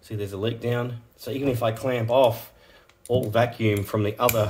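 At a fairly slow pace, a man talks at medium pitch with fairly even intonation. His voice is somewhat breathy. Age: 40s. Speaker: car repair youtuber. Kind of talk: tutorial. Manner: casual, halting.

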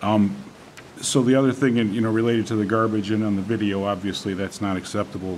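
A man with a fairly low pitch and an unremarkable speaking voice, over light background noise. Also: fairly even intonation. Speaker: village trustee. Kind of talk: public meeting. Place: meeting room. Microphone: podium.

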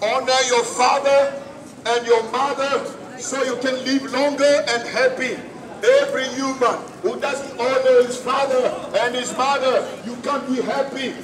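The voice stays monotone, with flat intonation, at a fairly slow pace. Noticeable background noise runs underneath. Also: man, extremely high pitch for a man. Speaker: street preacher. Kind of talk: street preaching. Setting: outdoors. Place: street. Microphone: camera far.

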